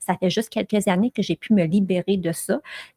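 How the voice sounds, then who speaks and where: Here a woman is talking. Her voice is somewhat breathy. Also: dry, close sound with no echo. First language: English (speaking French). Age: 40s. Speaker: podcast host and blogger. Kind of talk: solo podcast monologue. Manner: animated, with frequent fillers.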